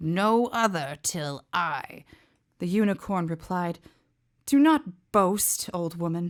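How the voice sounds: A natural reading voice with ordinary pitch variation and a quiet background.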